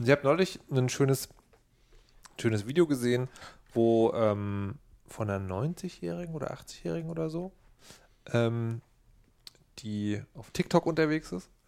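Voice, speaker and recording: A man's medium-pitched voice with very wide pitch swings, big swings in loudness, and long, frequent pauses. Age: 40s. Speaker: podcast co-host. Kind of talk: casual chat. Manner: animated.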